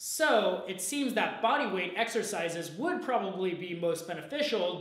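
Audible room echo surrounds a man talking at a moderate pace. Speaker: presenter. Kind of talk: explainer video talk. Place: gym.

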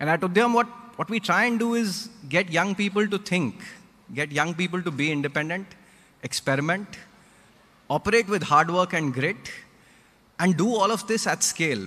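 At a moderate pace broken by long, frequent pauses, a man speaks in a high voice. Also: ordinary pitch variation. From India. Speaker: nonprofit founder; guest. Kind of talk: public talk. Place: hall. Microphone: podium.

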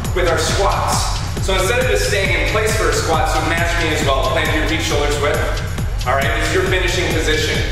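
Over clear background music and audible room echo, a man speaks at a moderate pace. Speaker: fitness instructor. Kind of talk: workout instruction. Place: empty room.

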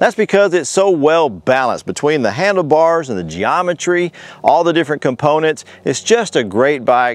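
The man talks at a moderate pace, and the sound is dry with no echo. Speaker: bike reviewer. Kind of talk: product review talk to camera. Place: open country. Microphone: lapel.

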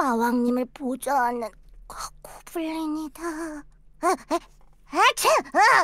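A put-on character voice speaks at a high pitch and a fairly slow pace. Long, frequent pauses break up the delivery. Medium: virtual streamer. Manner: stammering, hesitant.

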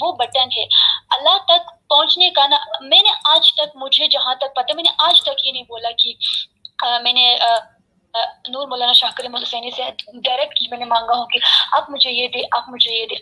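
In a quiet setting, a woman speaks at a high pitch and a moderate pace with ordinary pitch variation. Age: 20s. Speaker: religious community member. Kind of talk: heated debate; heated debate argument. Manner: loud. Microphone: video call.

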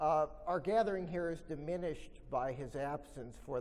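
A man's dark, mellow tone at a moderate pace, with ordinary pitch variation. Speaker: professor giving a talk. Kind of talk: lecture. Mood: solemn tribute then expository. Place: hall. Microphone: podium.

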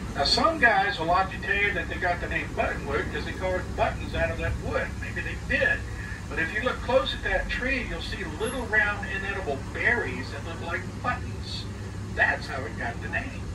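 The pace is moderate. Noticeable background noise can be heard. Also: man. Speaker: trolley tour guide. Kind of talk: tour guide commentary. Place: bus.

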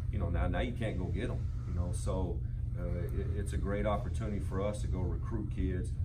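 A man's fairly quick speech competes with loud background noise. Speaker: newly hired head football coach. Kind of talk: press conference answer. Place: meeting room. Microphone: camera far.

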